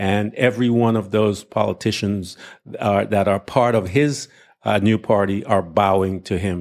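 In a very clean recording with a silent background, a man speaks at a moderate pace in a fairly low voice, his intonation fairly even and his loudness very even. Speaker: pastor and Bible teacher podcaster. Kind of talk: angry political rant with a preacher's cadence, sermon-like. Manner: indignant, emphatic, pressing and insistent; uses filler words and pauses while arguing.

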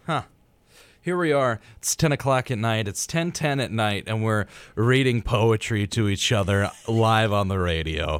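A man's ordinary speaking voice, medium in pitch, with lively intonation and a fairly slow pace. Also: very clean recording, silent background. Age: 20s. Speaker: radio host. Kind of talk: casual chat. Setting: studio.

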